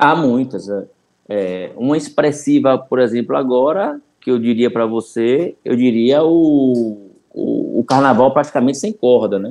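His tone is dark and mellow, his pitch medium. This man speaks at a fairly slow pace with ordinary pitch variation. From Salvador, Bahia, Brazil. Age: 40s. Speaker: city events director. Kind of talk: casual interview chat. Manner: halting, many repetitions.

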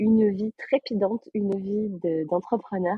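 A woman speaks at a fairly slow pace with a somewhat breathy voice. Her intonation stays fairly even. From southern France, Aveyron. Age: 20s. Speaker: sales closer. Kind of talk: interview.

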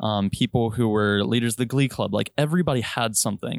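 A man with an American accent and a plain, everyday voice, fairly low in pitch with ordinary pitch variation, at a fairly quick pace, in a dry, close sound with no echo on a very clean recording with a silent background. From Virginia. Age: 20s. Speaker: airline pilot. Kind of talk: casual chat.

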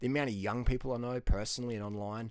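On a very clean recording with a silent background, a man with an Australian accent speaks in an animated, confident tone. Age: 40s. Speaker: fitness and diet YouTuber and coach. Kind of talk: casual monologue to camera, video blog. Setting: video recording, self-filmed. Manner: animated, casual, confident.

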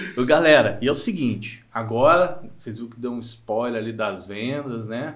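A man with a strong mineiro accent speaks at a medium pitch and a moderate pace, with ordinary pitch variation, hardly any pauses and audible room echo. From Minas Gerais, Brazil. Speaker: podcast host. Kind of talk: casual interview.

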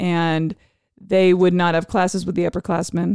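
Moderate-paced speech from a woman at medium pitch, an ordinary speaking voice. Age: 50s. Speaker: high school teacher. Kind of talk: casual chat; reading aloud.

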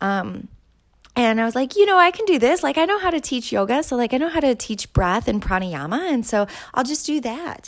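A woman speaks with an Upper Midwest accent at a fairly quick pace. Her high pitch makes very wide swings. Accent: Upper Midwest American. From southern Minnesota. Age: 30s. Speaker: yoga instructor and podcast host. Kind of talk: casual solo monologue.

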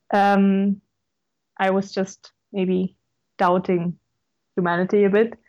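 A woman with a German accent, medium in pitch and dark and mellow in tone, against a quiet background. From Lower Austria. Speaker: law student. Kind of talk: interview.

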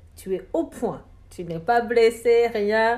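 The woman's voice has a dark, mellow tone. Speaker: podcast host. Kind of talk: interview. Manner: hesitant, many fillers.

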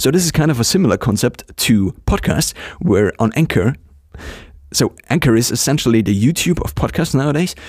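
At a fairly quick pace, a man with a medium pitch keeps a very even loudness while his pitch swings very widely. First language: not English. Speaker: solo podcaster and blogger. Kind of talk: casual solo monologue. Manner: hesitant, with fillers and restarts.

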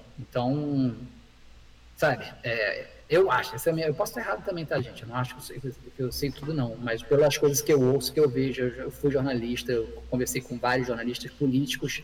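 At a moderate pace, a man speaks with ordinary pitch variation over noticeable background noise. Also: medium pitch for a man. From Rio de Janeiro, Brazil. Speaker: comedy screenwriter. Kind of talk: casual chat. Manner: halting.

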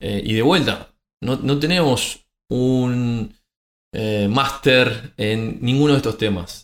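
A man speaks with a Uruguayan accent. He goes at a very slow pace with ordinary pitch variation. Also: medium pitch for a man. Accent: Uruguayan Spanish (rioplatense). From Uruguay, rural Montevideo. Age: 40s. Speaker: podcast co-host, systems engineer. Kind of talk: casual chat.

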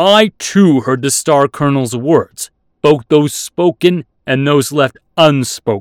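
Here is a man doing a put-on character voice. His pitch sits fairly high. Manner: challenging, grim.

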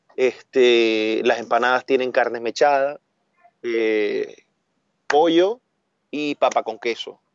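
A man speaks very slowly at a medium pitch, with ordinary pitch variation and long, frequent pauses. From Venezuela, Maracaibo (Zulia). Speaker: food business owner. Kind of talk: casual interview chat. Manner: animated.

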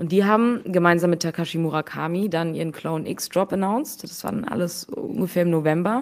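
A woman talks at a fairly quick pace with hardly any pauses, in an ordinary speaking voice. Her pitch is fairly low, with ordinary variation. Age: 20s. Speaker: NFT investor and fund co-founder. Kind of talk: casual interview.

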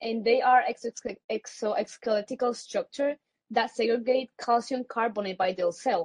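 A woman speaks with a Spanish accent at a high pitch. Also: dry, close sound with no echo. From Puerto Rico. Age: young. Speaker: student conservationist. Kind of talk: panel discussion. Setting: virtual event.

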